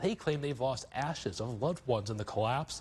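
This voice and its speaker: Speaking with an American accent, a man keeps a moderate pace. His voice is somewhat breathy. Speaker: weekday morning TV news anchor. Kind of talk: TV news anchor read. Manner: professional, newsreader delivery.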